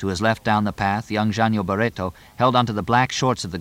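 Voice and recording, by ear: Fairly even intonation in a natural-voiced read-aloud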